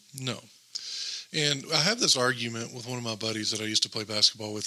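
There is noticeable background noise as a man talks very fast at medium pitch, with ordinary pitch variation. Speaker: guest. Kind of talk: casual chat. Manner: soft-spoken.

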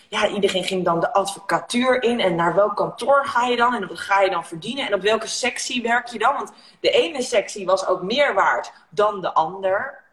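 At a moderate pace and with hardly any pauses, a woman talks at a fairly high pitch over noticeable background noise. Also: lively intonation. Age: 30s. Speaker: negotiation coach and entrepreneur. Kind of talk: casual chat. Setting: Instagram live video.

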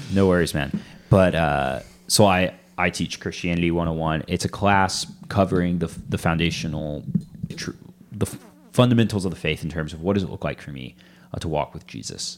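Vocal fry runs through this man's very deep, low voice, and his loudness swings widely. He speaks at a fairly quick pace with ordinary pitch variation. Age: 20s. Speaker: church family pastor. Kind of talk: casual interview chat.

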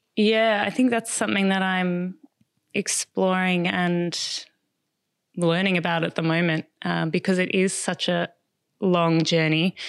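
Speaking at a fairly slow pace with long, frequent pauses, a woman with an Australian accent keeps a fairly low pitch and very even loudness in a very clean recording with a silent background. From Australia, Melbourne. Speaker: writer and content strategist. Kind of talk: casual interview. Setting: at her home.

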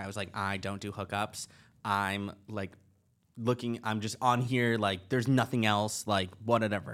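A man with a plain, everyday voice at medium pitch, on a very clean recording with a silent background. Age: 20s. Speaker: podcast co-host. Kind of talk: casual chat.

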